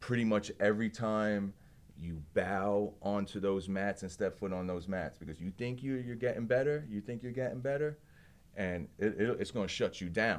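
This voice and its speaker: In a New Jersey accent, a man talks at a fairly low pitch with ordinary pitch variation. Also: moderate pace. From New Jersey (Belleville). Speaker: martial artist and small business owner. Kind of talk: casual interview. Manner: halting.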